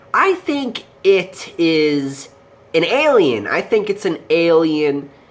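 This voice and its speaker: A woman talks at a very slow pace, her pitch swinging very widely. Noticeable background noise sits behind her. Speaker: movie reviewer. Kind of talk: casual movie review. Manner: hesitant, many fillers.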